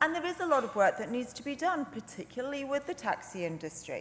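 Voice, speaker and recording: A woman speaks with very wide swings in pitch over light background noise. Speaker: legislator in debate. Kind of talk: parliamentary speech. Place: hall. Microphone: podium.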